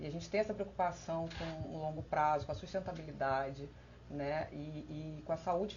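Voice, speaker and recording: A woman talks at a moderate pace, with audible room echo in the recording. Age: 30s. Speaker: election candidate, internal auditor. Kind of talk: live-stream panel presentation. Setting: online live stream. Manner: halting, many filler hesitations.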